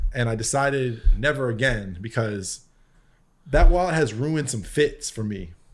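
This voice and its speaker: This man has a medium pitch, lively intonation and a somewhat breathy sound. His pace is moderate. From US Northeast, Connecticut. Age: 30s. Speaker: music producer. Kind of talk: casual chat.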